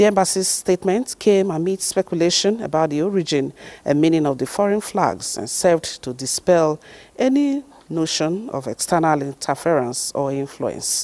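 A woman speaks at a moderate pace in a fairly low pitch, her tone dark and mellow and her intonation lively. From Nigeria. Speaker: news anchor. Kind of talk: news reading. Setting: studio.

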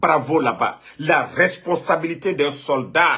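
A man's voice against a quiet background. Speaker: online political commentator. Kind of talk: commentary. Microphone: phone near.

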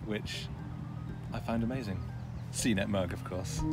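Music plays in the background as a man speaks, his voice dry with no echo. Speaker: tech journalist on road trip. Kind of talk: casual vlog chat. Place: car.

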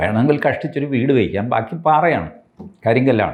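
A man talks at a medium pitch with very wide pitch swings. Vocal fry runs through his voice. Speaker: political commentator. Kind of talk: political commentary monologue. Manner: conversational, halting phrasing.

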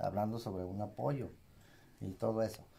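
Light background noise sits behind a man with a dark, mellow tone. He is somewhat breathy and keeps a moderate pace. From Mexico, Zacatecas. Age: 40s. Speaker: saddle maker. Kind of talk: casual interview. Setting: workshop. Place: workshop. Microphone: phone near.

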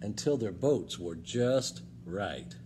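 Very slow speech over noticeable background noise. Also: man. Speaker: librarian reading aloud. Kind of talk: children's storybook read-aloud, bedtime-story style with character voices. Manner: animated, expressive, shifting voices for each character; warm, friendly, gentle pacing. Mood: warm, expressive storytelling. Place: hall. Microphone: phone near.

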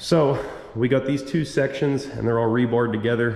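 A man's fairly quick speech with ordinary pitch variation, audible room echo and light background noise. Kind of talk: casual vlog chat. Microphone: phone near.

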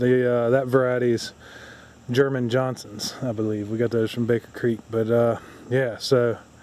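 In a dry recording with no echo, a man talks at a moderate pace with fairly even intonation. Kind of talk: casual vlog chat. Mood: chatty, mildly disappointed. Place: garden. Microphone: phone near.

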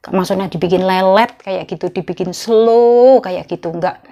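This woman's dark, mellow tone carries ordinary pitch variation against a quiet background. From Indonesia. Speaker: migrant domestic worker vlogger. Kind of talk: casual vlog monologue. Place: home room. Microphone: lapel.

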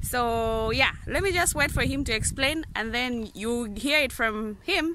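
Speaking at a fairly slow pace, a woman has a fairly high pitch, a bright, sharp tone and ordinary pitch variation.

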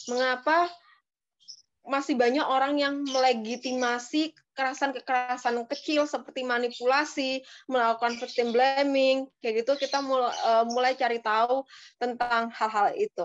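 In a quiet background, a woman speaks at a high pitch and a moderate pace. Her loudness stays very even and her intonation fairly even. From Indonesia. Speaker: activist; talk show guest. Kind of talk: webinar talk. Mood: thoughtful, earnest. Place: home room. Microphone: video call.

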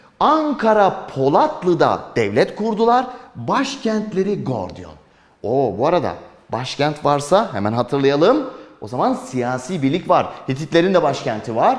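A man talks at a fairly slow pace with a high pitch. His tone is animated, with very wide pitch swings. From Turkey. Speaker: history teacher for exam prep. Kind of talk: lecture. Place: classroom.

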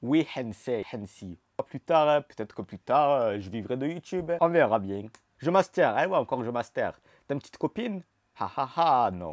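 Against a quiet background with a dry sound and no echo, a man talks at a moderate pace in an animated tone, with very wide pitch swings and big swings in loudness. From Marseille, southern France. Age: 20s. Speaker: YouTuber. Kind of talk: casual vlog Q&A. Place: home room. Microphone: lapel.

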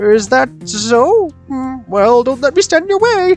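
A put-on character voice speaks at a high pitch and a fairly slow pace. Clear music sounds in the background.

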